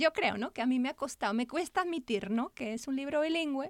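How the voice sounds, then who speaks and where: The intonation of this woman's speech is lively. Her recording is very clean and the background silent. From Spain. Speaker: children's author and art therapist. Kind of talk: interview.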